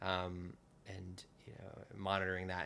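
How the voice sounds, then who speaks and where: A man with an American accent speaks in a flat monotone at a very deep, low pitch. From New Jersey. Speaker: urban tour organizer. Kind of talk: interview. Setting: home, on a couch. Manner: halting, many fillers.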